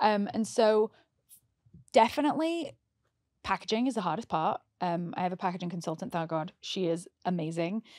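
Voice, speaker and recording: On a very clean recording with a silent background and a dry, close sound with no echo, a woman with a British accent speaks at medium pitch and a moderate pace, with lively intonation and long, frequent pauses. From England. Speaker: makeup artist. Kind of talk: casual chat.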